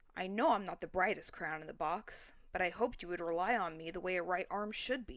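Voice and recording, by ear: Reading aloud in a natural voice, pitch showing ordinary variation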